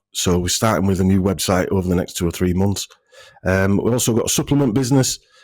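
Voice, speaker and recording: Very fast speech in a northern English accent, with ordinary pitch variation and very even loudness. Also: man, fairly low pitch for a man. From northern England. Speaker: health clinic owner. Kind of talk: casual interview chat. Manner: halting, many fillers and restarts.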